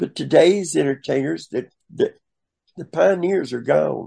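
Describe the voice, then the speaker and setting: A man with a Southern US accent talks at a fairly slow pace. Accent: Southern US drawl. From US South. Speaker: drag performer. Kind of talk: storytelling interview.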